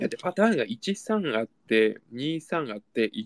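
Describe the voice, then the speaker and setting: A man speaks at a fairly quick pace with very wide pitch swings. The sound is dry and close, with no echo. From Japan, Ibaraki. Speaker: podcast co-host. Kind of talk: casual chat.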